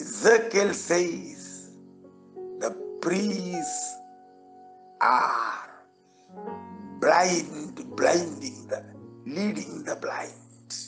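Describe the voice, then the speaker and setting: A man speaks in a passionate tone at a very slow pace, with long, frequent pauses and clear music playing behind him. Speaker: pastor, preacher. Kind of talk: sermon, preaching. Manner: passionate, emphatic. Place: church. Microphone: podium.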